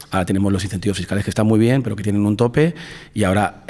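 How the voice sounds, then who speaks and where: Very fast speech comes from a man with a fairly low pitch. His pitch variation is ordinary. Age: 40s. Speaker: film producer and director. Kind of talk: interview. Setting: in person at a film festival. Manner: animated.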